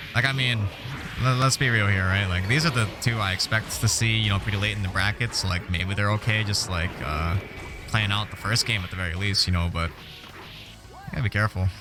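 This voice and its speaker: With music in the background, a man speaks fairly quickly in a fairly low voice with ordinary pitch variation. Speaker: fighting game tournament commentator. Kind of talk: live esports commentary. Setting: live stream. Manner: fast; animated.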